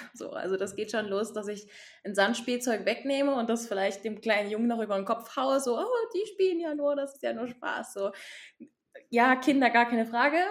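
An ordinary speaking voice from a woman, fairly high in pitch, at a moderate pace with ordinary pitch variation. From eastern Saxony, Germany. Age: 20s. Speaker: sexological bodyworker and yoga teacher. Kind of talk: casual interview. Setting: remote call from home.

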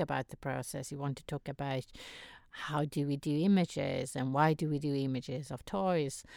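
With a non-native accent, a woman speaks at a moderate pace in a very deep, low voice, and the recording is very clean with a silent background and a dry, close sound with no echo. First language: not English. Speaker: podcast co-host. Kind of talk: casual chat. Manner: laughs often.

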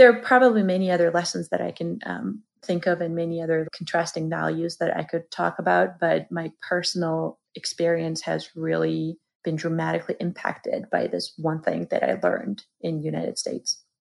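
A woman with a Georgian accent talks at a moderate pace with hardly any pauses. The recording is very clean, with a silent background. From Georgia (the country). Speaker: marketing expert. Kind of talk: interview conversation.

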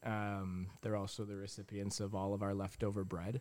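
A man talks at a fairly quick pace in an American accent. His pitch is fairly low. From US Midwest, Michigan. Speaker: coffee shop owner. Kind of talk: casual interview. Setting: on location in a coffee shop.

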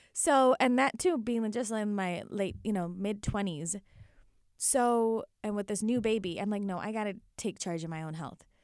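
Delivered at a moderate pace with ordinary pitch variation, this voice comes through on a very clean recording with a silent background. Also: woman, medium pitch for a woman. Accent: American. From US Midwest, Illinois. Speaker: physician. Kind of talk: casual interview.

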